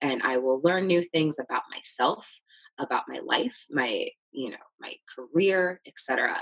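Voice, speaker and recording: A woman with a plain, everyday voice speaks at a fairly slow pace and a fairly low pitch, with lively intonation and big swings in loudness. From US Midwest. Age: 30s. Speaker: marketing executive. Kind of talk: casual interview chat.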